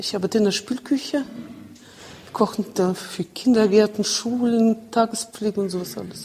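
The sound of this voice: A woman speaks at a fairly slow pace in a dark, mellow tone. Her pitch is medium, with ordinary variation.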